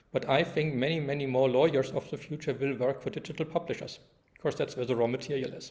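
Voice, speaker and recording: This man talks at a fairly quick pace in a German accent, his fairly high voice somewhat breathy. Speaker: law professor. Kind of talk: lecture. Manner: halting, many fillers.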